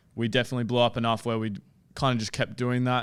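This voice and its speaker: The recording is very clean, with a silent background. A man speaks in an Australian accent at a medium pitch. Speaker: sports podcaster. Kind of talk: casual chat. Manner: flat, unenthusiastic, can sound sarcastic.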